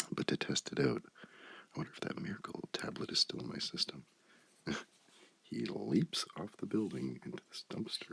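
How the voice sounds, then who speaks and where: Whispering at a moderate pace. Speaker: ASMR creator. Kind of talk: ASMR comic book reading. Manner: soft-spoken.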